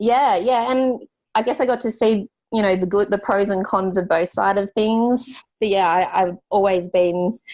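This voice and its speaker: In a very clean recording with a silent background, a woman with an Australian accent speaks at a moderate pace, her pitch varying in an ordinary way and her loudness very even. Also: medium pitch for a woman. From Australia, rural New South Wales (Grafton). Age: 20s. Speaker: graphic designer, business owner. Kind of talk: podcast interview. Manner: casual, many fillers.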